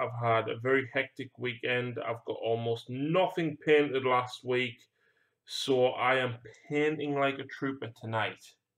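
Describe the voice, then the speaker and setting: Against a quiet background, a man speaks at a medium pitch with a British accent. His pace is fairly slow and his intonation fairly even. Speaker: hobby painting streamer. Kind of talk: casual chat.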